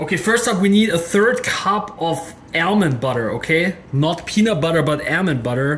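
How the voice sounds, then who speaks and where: A moderate pace with hardly any pauses, a German accent, and noticeable background noise. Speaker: cooking video creator. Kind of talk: tutorial. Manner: casual, chatty.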